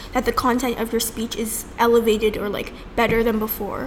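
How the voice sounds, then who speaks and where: Her delivery is moderately paced. The woman's voice comes with noticeable background noise behind it. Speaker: debate podcast co-host. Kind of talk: casual chat.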